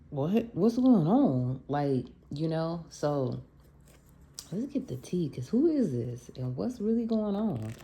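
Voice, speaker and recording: A somewhat breathy voice with a dark, mellow tone moves through very wide pitch swings. The pace is very slow. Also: woman, fairly low pitch for a woman. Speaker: tarot reader. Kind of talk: spiritual guidance reading. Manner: casual.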